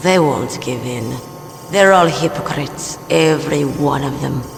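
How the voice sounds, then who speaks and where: Using a put-on character voice, a man speaks at a fairly high pitch and a moderate pace. Clear background noise runs behind him. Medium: machinima. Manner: cool, terse.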